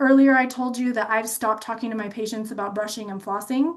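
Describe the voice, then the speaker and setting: A woman's fairly high voice, animated in tone and at a fairly quick pace. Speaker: dental health speaker. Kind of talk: webinar presentation. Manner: fast.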